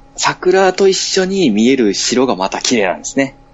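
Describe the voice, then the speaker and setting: Pitch swings very widely as a man speaks at a fairly slow pace. Noticeable background noise runs underneath. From Fukui, Japan. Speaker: podcaster. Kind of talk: casual chat.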